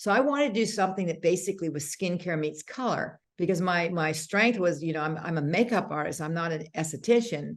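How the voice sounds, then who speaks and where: Fairly quick and with hardly any pauses, a woman talks in an unremarkable speaking voice, fairly low in pitch, with lively intonation. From Canada. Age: 60s. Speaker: makeup artist and beauty brand founder. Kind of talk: interview conversation.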